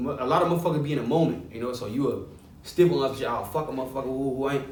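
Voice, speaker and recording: Talking at a very fast pace, a man uses a fairly high pitch with ordinary variation. Audible room echo surrounds his voice. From Chicago west side. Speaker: rapper. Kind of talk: interview. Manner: halting.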